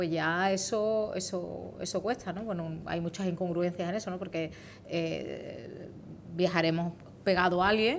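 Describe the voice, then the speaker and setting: A woman speaks at a fairly slow pace in a plain, everyday voice. Her pitch is fairly low and her intonation fairly even. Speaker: politician, member of European Parliament. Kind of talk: TV interview answer.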